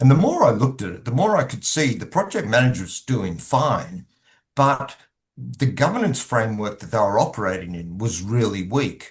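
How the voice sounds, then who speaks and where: The voice is somewhat breathy, with lively intonation and big swings in loudness. It moves at a moderate pace over a quiet background. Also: man, medium pitch for a man. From Australia. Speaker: governance consultant. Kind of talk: podcast interview.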